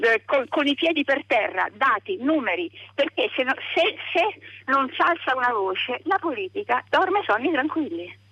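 Over noticeable background noise, a woman talks at a moderate pace. Her high voice has very wide pitch swings. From Umbria, province of Perugia. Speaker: radio caller. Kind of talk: phone-in comment. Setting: phone call. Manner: animated.

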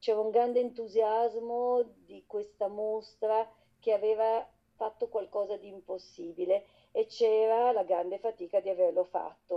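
Speaking fairly slowly, a woman keeps her fairly high voice monotone and flat even as her loudness rises and falls in big swings. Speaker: exhibition organizer. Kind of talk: personal reminiscence.

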